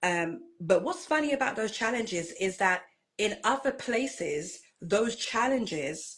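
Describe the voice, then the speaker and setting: Speaking with a British accent, a woman uses a fairly high pitch with very wide pitch swings. Her pace is fairly slow. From Britain. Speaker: minister and pageant titleholder. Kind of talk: interview.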